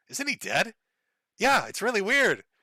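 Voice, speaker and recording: A raised, projected voice with a bright, sharp tone moves at a fairly quick pace. The recording is very clean and dry, close with no echo and a silent background. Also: man. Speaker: streamer reading super chats. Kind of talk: casual livestream chat.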